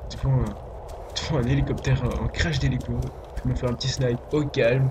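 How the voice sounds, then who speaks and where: A man's moderately paced talk comes through noticeable background noise and audible room echo. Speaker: gaming youtuber. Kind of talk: gameplay commentary. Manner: whispering a bit; hesitant, many fillers. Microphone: voice quiet, game audio too loud.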